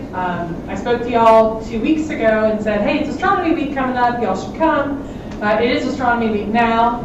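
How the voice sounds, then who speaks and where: A woman with a Southern US accent speaks at a moderate pace, her pitch fairly high with ordinary variation. Noticeable background noise and audible room echo surround her voice. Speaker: library director. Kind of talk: public comment at council meeting. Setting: city council meeting.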